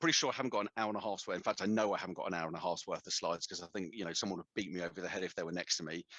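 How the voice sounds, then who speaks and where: The recording of this man has a dry, close sound with no echo, and his intonation is fairly even. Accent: British. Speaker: storage vendor technical specialist. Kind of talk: webinar presentation. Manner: fast; informal.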